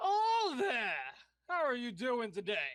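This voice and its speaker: A loud, booming put-on character voice, female-sounding and fairly high, at a fairly slow pace. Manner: booming, hearty.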